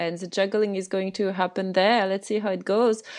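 Against a quiet background, a woman speaks in a French accent. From France. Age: 30s. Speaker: Buddhist teacher and herbal medicine practitioner. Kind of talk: interview conversation.

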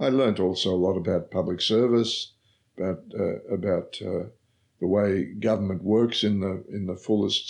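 A man with an Australian accent talks at a moderate pace in a fairly low voice with vocal fry. His pitch varies in an ordinary way, and the background is quiet. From Australia, Victoria. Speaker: former politician and professor. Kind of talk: interview. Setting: office. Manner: halting.

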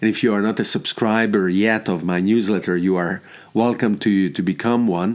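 A man with a Hungarian accent speaks at a moderate pace. His voice sits fairly low, and his intonation is fairly even. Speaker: podcast host. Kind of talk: solo podcast monologue. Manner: hesitant, filler words, reflective.

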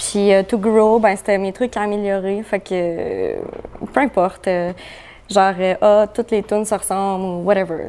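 Her pace is fairly slow and her pitch medium. The woman keeps a monotone, flat intonation. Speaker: pop rock musician. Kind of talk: casual chat.

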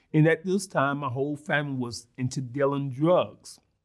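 In an American accent, a man with a fairly high pitch speaks at a moderate pace in an unremarkable speaking voice. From Mississippi, US South. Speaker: former prisoner and reentry program founder. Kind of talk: interview testimony.

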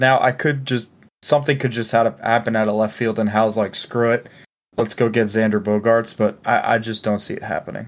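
The speaker is a man with a medium pitch and an ordinary speaking voice. He talks at a fairly quick pace. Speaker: sports podcast host. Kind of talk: casual chat. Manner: laughs often.

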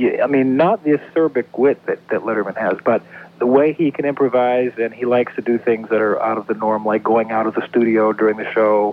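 In a plain, everyday voice, a man talks at a fairly quick pace and medium pitch with fairly even intonation. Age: 40s. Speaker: radio caller. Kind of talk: casual chat. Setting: phone call.

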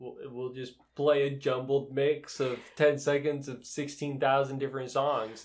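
A man with an American accent speaks in a monotone, flat intonation, with big swings in loudness. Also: fairly slow pace. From Utah, US. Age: 20s. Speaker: host's boyfriend. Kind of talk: casual chat.

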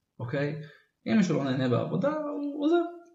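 A man is heard speaking with audible room echo. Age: 30s. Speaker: nature photographer and entrepreneur. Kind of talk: interview.

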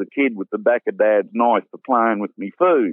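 A man talks with a strong Australian accent. His pace is moderate. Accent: broad Australian. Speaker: bush cook and cookbook author. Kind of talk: casual interview chat.

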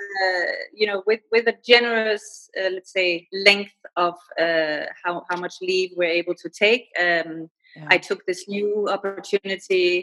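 A woman with a Danish accent speaks fairly slowly at a medium pitch, her intonation fairly even. Her tone is bright and sharp, and her loudness swings widely. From Denmark. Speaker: freelance writer. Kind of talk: interview, casual conversation. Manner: halting, many fillers.

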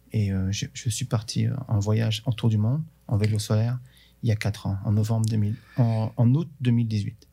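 The tone is dark and mellow, somewhat breathy, with fairly even intonation at a moderate pace. The recording is very clean with a silent background. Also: man, fairly low pitch for a man. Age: 50s. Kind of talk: interview.

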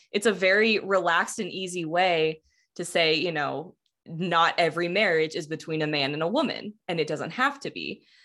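Here a woman with an American accent uses an unremarkable speaking voice, fairly low in pitch, at a moderate pace with ordinary pitch variation. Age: 20s. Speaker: podcast producer and co-host, guest. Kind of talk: casual chat.

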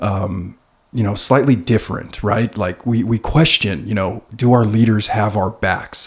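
This man speaks at a fairly slow pace, his voice somewhat breathy. His pitch is fairly low, with ordinary variation. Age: 30s. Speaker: podcast co-host, firefighter. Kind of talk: casual interview.

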